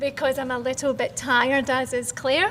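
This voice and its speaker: Noticeable background noise sits behind this recording. A woman speaks with a Scottish accent at a high pitch. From Scotland. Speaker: founder of women in tech network. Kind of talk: panel discussion.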